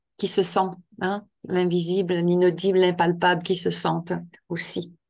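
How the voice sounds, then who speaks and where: A woman speaks in a flat, monotone way at a medium pitch and a fairly slow pace. The background is quiet. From Quebec. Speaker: author and end-of-life care trainer. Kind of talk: interview. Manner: hesitant, many fillers and repetitions.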